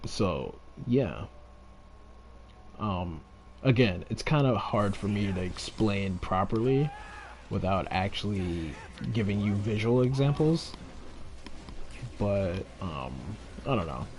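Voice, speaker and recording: Audible room echo surrounds a man speaking at a very slow pace with long, frequent pauses, a fairly low pitch and lively intonation. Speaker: gaming streamer. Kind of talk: casual live-stream commentary. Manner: speaking in a low voice; hesitant, many fillers.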